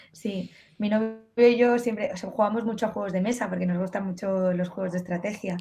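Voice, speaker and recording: A woman talks at a fairly quick pace. Faint music plays in the background. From Spain. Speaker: fencer; interviewee. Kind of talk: casual interview. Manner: animated. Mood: lively, animated. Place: home room. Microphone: earbuds.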